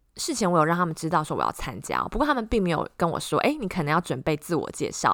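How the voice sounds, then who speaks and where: On a very clean recording with a silent background, a woman talks very fast in a fairly low voice with vocal fry and lively intonation. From Taiwan. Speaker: podcast host, tech presenter, former radio host.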